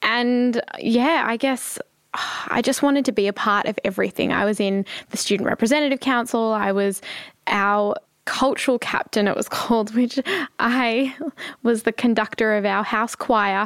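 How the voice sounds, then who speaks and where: A woman speaks in a fairly high voice with an Australian accent. Her intonation stays fairly even, and her loudness hardly varies at all. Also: moderate pace. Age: 20s. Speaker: charity founder and CEO. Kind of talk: interview conversation.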